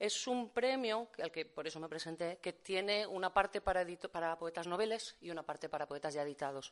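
At a fairly quick pace, an ordinary speaking voice talks with ordinary pitch variation. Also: woman, fairly low pitch for a woman. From Valencia, Spain. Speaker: poet and literature teacher. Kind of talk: poetry reading and talk. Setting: venue with live audience.

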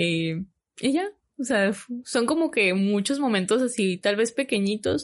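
A woman speaks in a normal speaking voice with a fairly high pitch and lively intonation. Her pace is fairly slow and her loudness very even. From Mexico, Hermosillo, Sonora. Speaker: flight attendant. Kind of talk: casual interview.

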